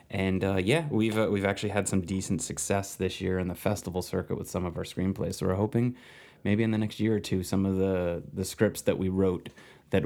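This is a plain, everyday voice moving at a fairly quick pace with ordinary pitch variation. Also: man. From New Jersey. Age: 30s. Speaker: screenwriter and filmmaker. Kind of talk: casual interview chat.

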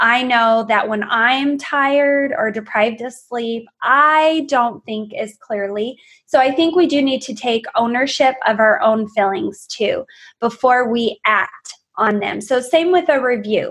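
In an energetic tone, a woman speaks at a fairly slow pace with a high pitch and ordinary pitch variation. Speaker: wellness coach. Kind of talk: interview. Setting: video call.

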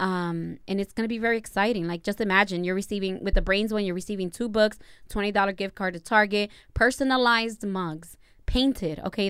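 A woman with a Spanish accent, at a medium pitch and a fairly quick pace, with fairly even intonation. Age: 30s. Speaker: podcast co-host. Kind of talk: casual chat. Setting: livestream recorded at home.

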